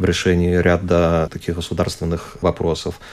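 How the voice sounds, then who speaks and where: A man speaks in a very deep, low voice. Noticeable background noise runs underneath. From Belarus. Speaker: archaeologist. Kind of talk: radio interview. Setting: studio.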